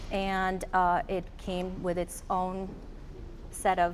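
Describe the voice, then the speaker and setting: This woman has a Romanian accent. Her pitch sits in the medium range. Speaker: psychologist. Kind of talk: panel discussion.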